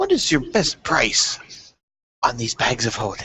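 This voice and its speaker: A man puts on a character voice at a fairly high pitch, speaking at a fairly slow pace. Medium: actual play. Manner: pompous, haggling.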